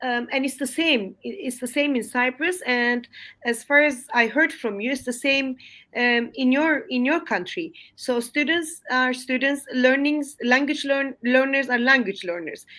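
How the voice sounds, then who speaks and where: A woman with a Turkish accent projects her voice in a high, bright, sharp tone, speaking fairly slowly with ordinary pitch variation. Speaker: English language teacher. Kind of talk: webinar discussion. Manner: halting, many fillers.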